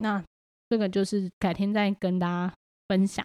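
A medium-pitched woman with a Taiwanese accent on a very clean recording with a silent background. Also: dry, close sound with no echo. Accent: Taiwanese Mandarin. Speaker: podcast host and homeschooling mother. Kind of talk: casual monologue.

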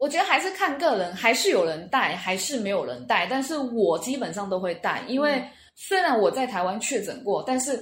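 A woman's high voice at a moderate pace, with very wide pitch swings. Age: 30s. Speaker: language school student. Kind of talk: interview.

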